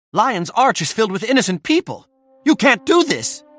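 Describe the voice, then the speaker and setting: A man performs a put-on character voice at extremely high pitch with very wide pitch swings and a moderate pace. The sound is dry and close with no echo, with music in the background. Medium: video game.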